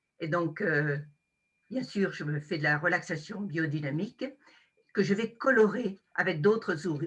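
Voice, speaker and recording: A woman's very slow, lively-intoned delivery. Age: 70s. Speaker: wellness practitioner, former business owner. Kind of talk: self-introduction.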